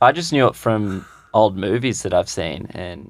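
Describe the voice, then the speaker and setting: A man with a fairly low voice and an Australian accent. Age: 20s. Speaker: podcast co-host. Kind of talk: casual chat; joke telling.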